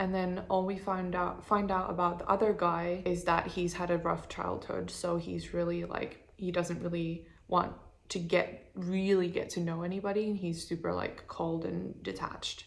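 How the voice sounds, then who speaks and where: With a plain, everyday voice, a woman talks at a moderate pace. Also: fairly low pitch for a woman. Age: 20s. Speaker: designer. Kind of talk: casual talk to camera. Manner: chatty, upbeat.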